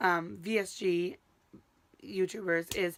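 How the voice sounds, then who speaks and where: An animated woman's voice on a very clean recording with a silent background. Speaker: vlogger, teacher. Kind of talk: casual vlog. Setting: living in a camper.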